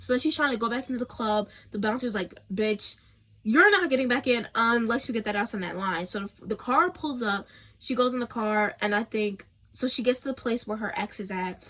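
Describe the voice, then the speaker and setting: Fairly high-pitched, a woman speaks at a fairly quick pace in an animated tone with ordinary pitch variation. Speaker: book vlogger. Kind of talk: casual rant. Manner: fast.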